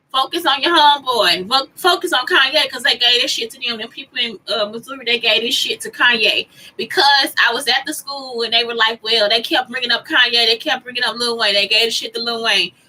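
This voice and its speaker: Over noticeable background noise, a high-pitched woman speaks in an animated tone at a fairly quick pace with hardly any pauses and ordinary pitch variation. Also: big swings in loudness. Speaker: vlogger. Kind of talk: casual monologue vlog. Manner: fast.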